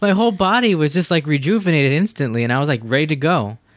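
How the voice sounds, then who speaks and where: Lively intonation and a very fast pace mark this voice on a very clean recording with a silent background. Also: man. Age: 30s. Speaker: podcast host. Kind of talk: casual chat.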